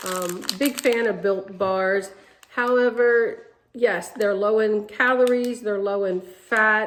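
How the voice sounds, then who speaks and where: Noticeable background noise runs throughout. The talking proceeds at a fairly slow pace. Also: woman. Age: 60s. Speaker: weight-loss vlogger. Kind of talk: casual vlog. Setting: home kitchen. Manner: hesitant, many fillers.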